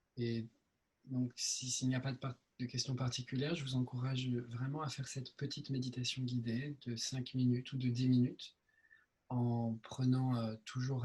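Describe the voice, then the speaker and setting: Monotone and flat in intonation, a man speaks at a fairly slow pace in a somewhat breathy voice. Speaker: meditation teacher. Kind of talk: meditation Q&A session. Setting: video call. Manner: soft-spoken; hesitant with many fillers.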